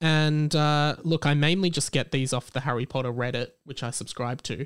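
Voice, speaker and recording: A man speaks at a moderate pace with an Australian accent. His pitch sits fairly high, and the recording is very clean with a silent background. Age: 20s. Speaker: podcast host. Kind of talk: casual chat.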